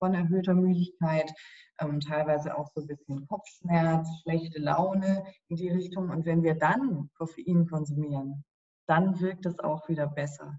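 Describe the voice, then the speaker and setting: Somewhat breathy, a woman speaks fairly slowly in a fairly low pitch with fairly even intonation. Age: 30s. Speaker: sleep scientist. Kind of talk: interview.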